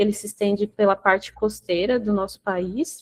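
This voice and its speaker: Someone with a Brazilian accent speaks at a fairly slow pace with fairly even intonation. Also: woman. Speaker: researcher presenting at a webinar. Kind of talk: technical presentation.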